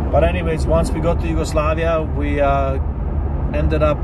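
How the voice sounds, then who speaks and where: Over loud background noise, a man speaks with ordinary pitch variation in a dry sound with no echo. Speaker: vlogger telling his life story. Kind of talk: casual vlog storytelling. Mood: reflective, serious. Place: car. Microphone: phone near.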